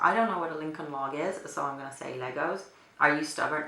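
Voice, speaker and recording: With a Finnish accent, a woman speaks in a very deep, low voice amid audible room echo and noticeable background noise. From Finland. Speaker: beauty vlogger. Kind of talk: casual chat. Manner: hesitant with fillers.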